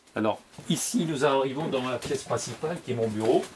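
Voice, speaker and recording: Amid noticeable background noise, a man speaks at a medium pitch and a moderate pace, with ordinary pitch variation. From Tunisia, later Brittany. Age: 50s. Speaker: comic book author. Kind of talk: guided tour interview. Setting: at home in his workroom. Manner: hesitant, frequent 'euh'.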